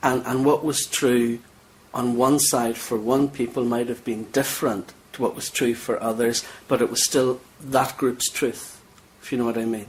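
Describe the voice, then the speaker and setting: Amid noticeable background noise, a man with a Northern Irish accent speaks at a moderate pace in a medium pitch, his intonation monotone and flat. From Northern Ireland. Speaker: cleric. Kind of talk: interview. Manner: halting.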